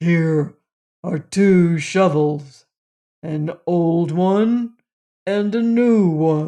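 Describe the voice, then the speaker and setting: A put-on character voice at middle pitch, very slow in pace with long, frequent pauses. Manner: gruff.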